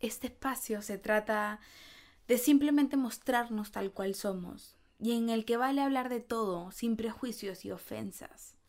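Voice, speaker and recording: A woman with a fairly high pitch and ordinary pitch variation speaks at a fairly slow pace on a very clean recording with a silent background. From Peru. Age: 20s. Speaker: podcast host. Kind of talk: personal monologue.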